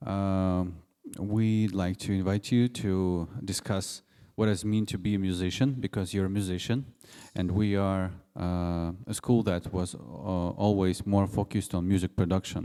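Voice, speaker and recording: Slow-paced and fairly even in intonation, a man with a Russian accent speaks in a very deep, low pitch with a dark, mellow tone. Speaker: event host at music school. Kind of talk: public talk moderation.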